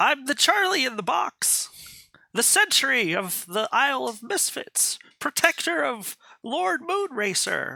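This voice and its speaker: A man's shrill, extremely high put-on character voice, with very wide pitch swings at a fairly slow pace. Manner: shrieking.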